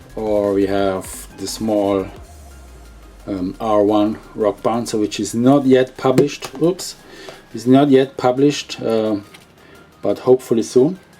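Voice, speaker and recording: With music in the background, a man with a non-native accent speaks at a medium pitch and a fairly slow pace, using ordinary pitch variation and long, frequent pauses. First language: not English. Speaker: hobby shop owner and video host. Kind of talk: product unboxing. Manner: halting with many fillers.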